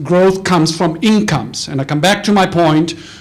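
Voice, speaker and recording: The talking proceeds at a moderate pace. Background noise is noticeable throughout. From Germany. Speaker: financial analyst. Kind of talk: panel talk.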